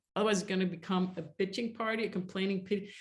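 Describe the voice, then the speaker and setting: A woman speaks at a medium pitch and sounds somewhat breathy. Her intonation is monotone and flat. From grew up in a war zone. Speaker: relationship coach. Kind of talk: webinar masterclass. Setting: live online webinar. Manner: fast.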